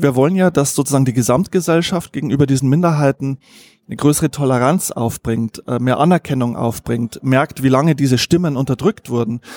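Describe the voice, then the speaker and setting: This man has an unremarkable speaking voice, fairly high in pitch, with ordinary pitch variation and a fairly quick pace. The recording is very clean, with a silent background. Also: dry, close sound with no echo. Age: 40s. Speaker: journalist and author. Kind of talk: interview. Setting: restaurant.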